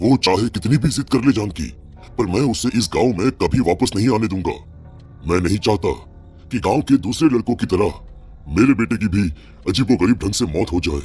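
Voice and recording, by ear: A man's cartoonish character voice, fairly low in pitch, at a fairly quick pace with lively intonation and music in the background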